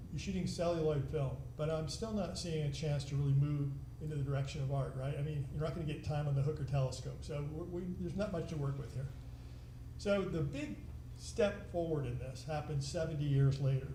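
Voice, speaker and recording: A man's fairly high voice at a fairly quick pace, with ordinary pitch variation, audible room echo and noticeable background noise. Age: 70s. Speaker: filmmaker and amateur astrophotographer giving a talk. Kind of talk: lecture. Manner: halting, many fillers; casual, conversational.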